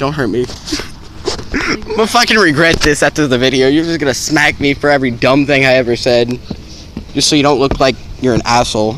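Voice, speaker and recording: A man with a fairly high pitch talks at a fairly quick pace with ordinary pitch variation, very even loudness and long, frequent pauses. The sound is dry with no echo, with light background noise. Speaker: vlogger. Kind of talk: casual chat. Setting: outdoors. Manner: animated. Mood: playful, nervous joking. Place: waterside. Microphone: phone near.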